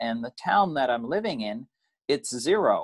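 A man with a Canadian accent speaks in a lively intonation against a quiet background. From Canada. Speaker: recent emigrant. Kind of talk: interview. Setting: video call. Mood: calm storytelling. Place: home room. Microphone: video call.

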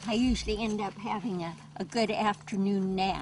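Noticeable background noise sits behind a woman with a medium-pitched voice. She speaks at a fairly slow pace with fairly even intonation. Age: 80s+. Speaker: desert gardener. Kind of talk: documentary interview answer.

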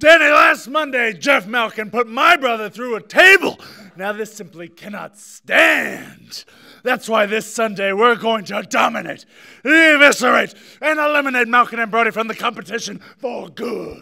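A man's raised, projected voice at an extremely high pitch, moderate in pace, with ordinary pitch variation and big swings in loudness. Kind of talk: wrestling promo speech. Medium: comedy sketch. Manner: serious, dramatic, intense.

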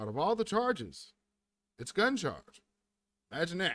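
A man's voice swings very widely in pitch at a moderate pace, with a dry sound and no echo. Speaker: stream host. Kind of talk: casual live-stream commentary. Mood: wry, animated. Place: home room.

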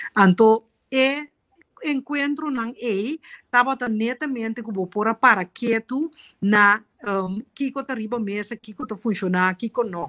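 Over a quiet background, a woman with a Caribbean accent speaks at a fairly slow pace in a fairly high, bright, sharp voice with ordinary pitch variation. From Curaçao. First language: Papiamentu (speaking Portuguese). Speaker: politician; guest. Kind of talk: interview. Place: home room. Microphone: video call.

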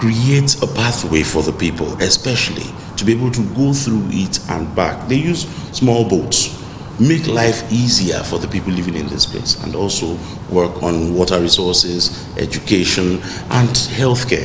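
A man speaks at a moderate pace in a fairly low voice, with noticeable background noise behind him. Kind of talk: interview answer. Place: hall.

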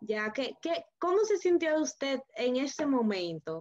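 A woman speaking at a fairly slow pace. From Dominican Republic. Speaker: interviewer. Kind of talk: interview. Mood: friendly, engaged. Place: home room. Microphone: video call.

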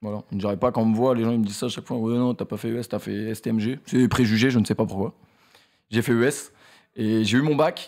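This man has a normal speaking voice at a medium pitch, talking at a fairly quick pace with fairly even intonation over a quiet background. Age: 20s. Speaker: streamer and YouTuber; streamer, YouTuber. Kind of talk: casual chat interview; interview answer. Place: studio. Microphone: studio mic.

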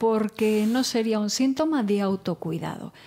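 A woman's dark, mellow voice at a fairly slow pace, quiet background. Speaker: psychologist. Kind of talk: casual chat. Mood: calm, friendly, explanatory. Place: studio. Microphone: studio mic.

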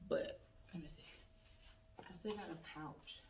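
A woman at a moderate pace over light background noise. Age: 30s. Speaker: YouTube vlogger. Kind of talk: try-on haul video. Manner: animated. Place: home room. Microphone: camera far.

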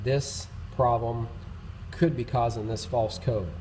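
Somewhat breathy and dark, mellow in tone, a man speaks at a fairly slow pace with light background noise. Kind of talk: tutorial. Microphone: phone near.

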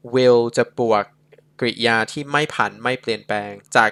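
A man's bright, sharp tone comes across in a dry, close sound with no echo. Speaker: English tutor. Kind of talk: tutorial.

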